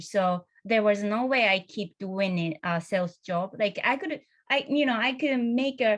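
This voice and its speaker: A woman with a medium pitch speaks at a fairly slow pace. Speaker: career changer into design. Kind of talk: panel discussion. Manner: halting.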